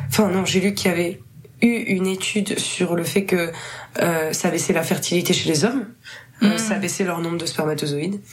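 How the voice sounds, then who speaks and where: There is audible room echo and noticeable background noise as a woman with a fairly low voice and ordinary pitch variation speaks at a moderate pace, pausing long and often. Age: 20s. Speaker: musician. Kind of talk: casual chat.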